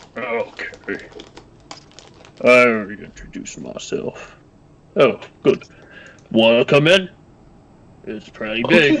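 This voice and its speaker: Putting on a character voice, a man speaks at a fairly slow pace with long, frequent pauses. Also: medium pitch for a man. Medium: actual play.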